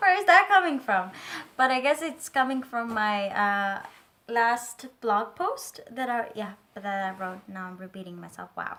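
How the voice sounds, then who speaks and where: A woman with a non-native accent, a fairly high pitch, very wide pitch swings, big swings in loudness and a fairly slow pace. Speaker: tarot and lifestyle vlogger. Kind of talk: casual vlog monologue. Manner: hesitant, many fillers.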